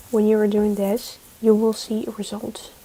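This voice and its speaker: Noticeable background noise surrounds a woman whose fairly high voice stays monotone and flat. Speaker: live streamer. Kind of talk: casual chat.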